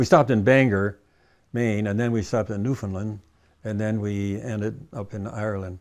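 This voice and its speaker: A man with a Midwestern accent talks at a moderate pace and fairly low pitch. His intonation is fairly even, and the recording is very clean with a silent background. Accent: American Midwestern. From US Midwest, Michigan (Cleveland, Grosse Pointe). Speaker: war veteran. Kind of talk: oral history interview. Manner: halting, frequent fillers.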